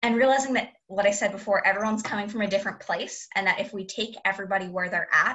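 This woman's voice sits at a medium pitch and carries a bright, sharp tone.

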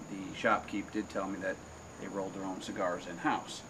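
Fairly even intonation from a man, over noticeable background noise. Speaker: cigar reviewer, channel host. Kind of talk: casual review chat. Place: home room. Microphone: camera far.

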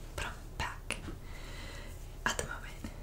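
A fairly slow pace from a woman. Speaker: ASMR creator. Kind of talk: ASMR whispered talk to camera. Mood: calm, warm. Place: home room. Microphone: earbuds.

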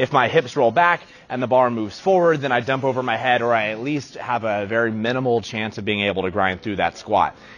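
Faint music plays in the background as a man talks. His pace is fairly quick, and his pitch varies in an ordinary way. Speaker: strength coach. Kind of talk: tutorial. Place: gym. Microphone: lapel.

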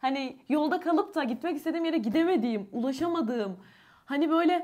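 Against a quiet background, a woman with an extremely high voice talks at a fairly quick pace with lively intonation. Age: 20s. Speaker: YouTuber with albinism. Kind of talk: casual chat. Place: home room. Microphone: lapel.

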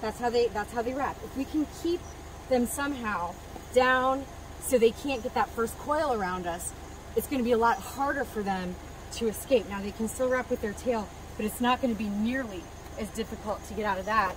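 Against noticeable background noise, a woman talks at a fairly quick pace with ordinary pitch variation in a dry sound with no echo. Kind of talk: demonstration explanation. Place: open country. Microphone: camera far.

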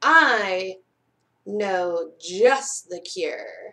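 A woman puts on a character voice with a bright, sharp tone, medium pitch, lively intonation and a very slow pace.

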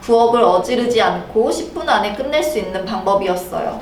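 Over music in the background, a woman with a fairly high pitch speaks at a moderate pace with very wide pitch swings. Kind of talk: storytelling read-aloud of a picture book.

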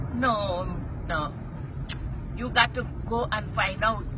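The speaker is a woman with a Guyanese accent. Her voice sounds dry with no echo, over noticeable background noise. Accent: Guyanese Creole. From Guyana. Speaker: passenger talking to the driver. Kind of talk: casual conversation. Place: car. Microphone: phone near.

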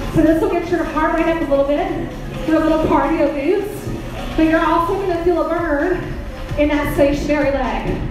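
At a moderate pace, a woman speaks in an extremely high, monotone, flat voice, with strong room echo and noticeable background noise. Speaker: fitness instructor. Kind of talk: workout instruction. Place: gym.

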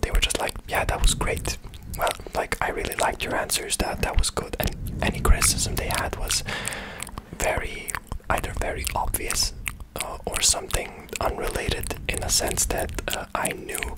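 A man whispers softly at a moderate pace. Loud background noise is present. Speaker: video creator. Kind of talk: casual vlog chat. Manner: soft close-mic ASMR whisper. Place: home room. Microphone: studio mic.

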